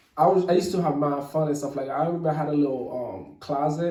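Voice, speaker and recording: A man with a Haitian accent talks at a very fast pace in a fairly high pitch, his intonation fairly even, with audible room echo around him. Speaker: rapper. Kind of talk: casual interview. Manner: halting.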